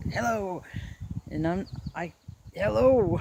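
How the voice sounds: A man puts on a character voice. It sounds guttural and high-pitched.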